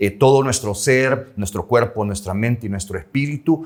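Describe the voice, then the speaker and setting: A man talks with some breathiness, holding a moderate pace and a medium pitch. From El Salvador. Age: 60s. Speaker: journalist and former news anchor. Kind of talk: interview.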